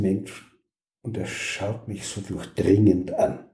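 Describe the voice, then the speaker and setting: A man speaks at a very slow pace in a dark, mellow tone. His voice is somewhat breathy. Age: 70s. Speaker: occupational therapist. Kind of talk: interview.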